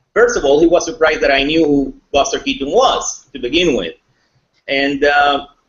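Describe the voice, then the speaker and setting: A man with a Spanish accent speaks at a moderate pace, his fairly high voice moving with ordinary pitch variation. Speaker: thriller author. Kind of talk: interview.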